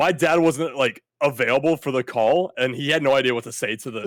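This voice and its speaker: Recorded with a dry, close sound and no echo, an ordinary speaking voice moves at a fairly quick pace. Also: man, fairly high pitch for a man, ordinary pitch variation. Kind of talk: casual, slangy.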